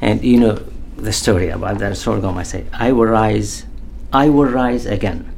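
The speaker has an Arabic accent. Audible room echo and noticeable background noise come through. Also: man, moderate pace. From Iraq, Baghdad. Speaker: poet and artist, former prisoner of war. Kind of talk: interview. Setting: studio. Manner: halting.

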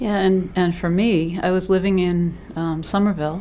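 A woman with an American accent and fairly even intonation, over noticeable background noise. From Massachusetts. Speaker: yoga teacher and bed and breakfast owner. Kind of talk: casual interview.

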